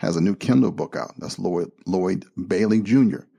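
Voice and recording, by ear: The reading aloud is done in a natural voice, with lively intonation.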